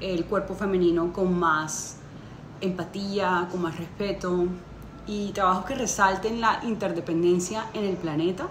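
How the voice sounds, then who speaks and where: The speech moves at a fairly slow pace with fairly even intonation. Audible room echo and light background noise are present. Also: woman. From Colombia. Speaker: interdisciplinary artist and conceptual photographer. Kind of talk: juror's statement to camera. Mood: warm, earnest. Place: home room. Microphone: phone near.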